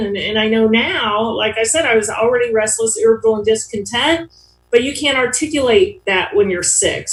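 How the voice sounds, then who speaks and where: An unremarkable speaking voice from a woman with an American accent, fairly high in pitch, at a moderate pace. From Ohio, US Midwest. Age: 60s. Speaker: AA speaker. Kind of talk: recovery testimony. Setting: online meeting. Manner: casual, with many fillers.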